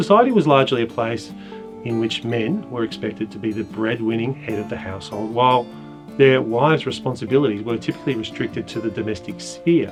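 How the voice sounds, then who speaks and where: Music plays in the background as someone speaks at a very fast pace with lively intonation. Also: man. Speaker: poetry teacher and presenter. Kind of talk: educational lecture narration.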